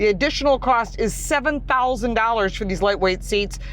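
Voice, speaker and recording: A woman with a fairly high voice talks at a fairly quick pace with ordinary pitch variation over noticeable background noise. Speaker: car reviewer. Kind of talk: car review. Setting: in a car. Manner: loud.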